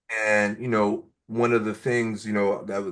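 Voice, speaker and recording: The speaker is a man with a medium-pitched voice. The background is quiet. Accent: New York. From New York (Brooklyn). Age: 40s. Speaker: nonprofit entrepreneurship educator. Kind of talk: interview.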